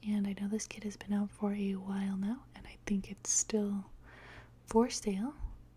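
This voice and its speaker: Soft-spoken and somewhat breathy, a woman talks in a dark, mellow tone with monotone, flat intonation and big swings in loudness. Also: medium pitch for a woman, moderate pace. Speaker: bible journaling crafter. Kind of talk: crafting tutorial voiceover. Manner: hesitant, many fillers.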